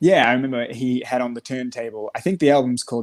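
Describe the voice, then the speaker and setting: Recorded very cleanly against a silent background, a man with an Australian accent speaks with fairly even intonation. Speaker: musician. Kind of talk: casual interview chat.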